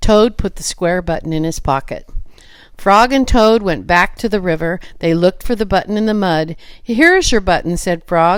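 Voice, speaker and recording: A woman speaks at a moderate pace and medium pitch with ordinary pitch variation. She has a plain, everyday voice. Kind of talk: children's storybook reading. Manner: calm, even storytelling.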